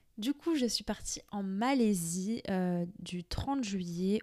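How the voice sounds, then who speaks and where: The pace is very slow. A dark, mellow tone colors the voice. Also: woman. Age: 20s. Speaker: podcaster. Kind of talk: casual monologue. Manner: hesitant, many fillers.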